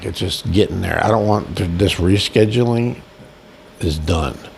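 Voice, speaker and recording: Over noticeable background noise, a man with an American accent talks at a moderate pace with ordinary pitch variation. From Boston, US. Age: 60s. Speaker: video blogger, nursing home resident. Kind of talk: casual vlog monologue. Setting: in bed at a nursing home. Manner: rambling, halting.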